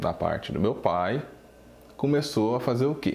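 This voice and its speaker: With a slight mineiro accent, a man talks at a moderate pace with lively intonation, and audible room echo surrounds him. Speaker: drum teacher. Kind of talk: casual video talk.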